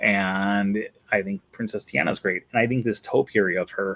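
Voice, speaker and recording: A Wisconsin accent in a dry, close sound with no echo. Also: man, very clean recording, silent background. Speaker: Disney vlogger. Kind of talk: casual video commentary.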